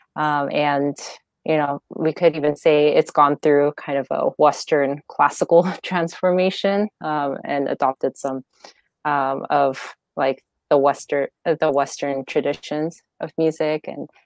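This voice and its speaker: In a dry sound with no echo and a quiet background, a woman talks in a monotone, flat intonation with a very deep, low pitch. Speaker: guest, educator. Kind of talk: interview answer. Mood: friendly, occasionally laughing. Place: home room. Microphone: earbuds.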